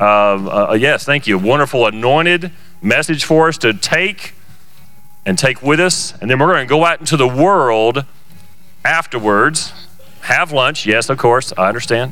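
With music in the background, the speaker keeps a moderate pace, very even loudness and lively intonation. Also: man, medium pitch for a man. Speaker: service host, church leader. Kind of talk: casual welcome and announcements. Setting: church, live stream. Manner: jovial, joking.

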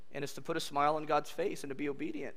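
A man's bright, sharp tone in audible room echo. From California. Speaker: pastor. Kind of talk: sermon. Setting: church. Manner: animated.

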